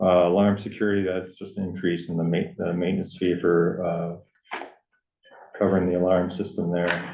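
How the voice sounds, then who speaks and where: Flat, monotone intonation runs at a moderate pace, with audible room echo around the voice. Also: man, very deep, low pitch for a man. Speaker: town first selectman chairing board meeting. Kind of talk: town board meeting discussion.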